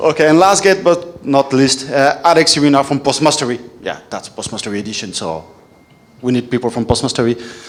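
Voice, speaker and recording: Talking at a fairly quick pace, a man with a French accent uses a fairly high pitch and lively intonation. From France. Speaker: panel moderator. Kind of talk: panel discussion. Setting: stage with audience.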